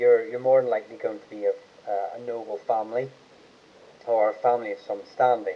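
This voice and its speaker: Mumbling at a medium pitch, a man talks at a fairly quick pace with long, frequent pauses and fairly even intonation. His loudness swings widely, and there is noticeable background noise. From Ireland. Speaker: online genealogy channel host. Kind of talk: live stream Q&A chat. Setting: YouTube livestream. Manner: halting, many fillers.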